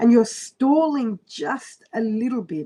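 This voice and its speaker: The woman's voice is somewhat breathy with a dark, mellow tone. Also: very clean recording, silent background. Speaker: astrologer. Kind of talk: live-stream horoscope reading. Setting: live stream on computer. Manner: fast.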